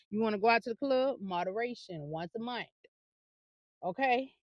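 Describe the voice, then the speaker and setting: Bright and sharp in tone, a woman talks at a fairly quick pace with an animated tone and lively intonation. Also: dry, close sound with no echo. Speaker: fitness and lifestyle vlogger. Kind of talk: casual vlog monologue. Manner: fast.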